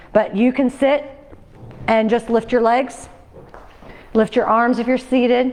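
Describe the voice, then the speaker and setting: Over noticeable background noise, a woman with a high pitch speaks in a flat monotone at very even loudness, leaving long, frequent pauses. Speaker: fitness instructor. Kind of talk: exercise class instruction. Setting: fitness class with livestream. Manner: fast.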